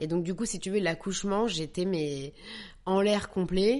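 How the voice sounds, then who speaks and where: Against a quiet background, a woman speaks at a moderate pace with a fairly low pitch and ordinary pitch variation. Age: 30s. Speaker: actress and young mother. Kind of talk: personal testimony. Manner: hesitant, many repetitions.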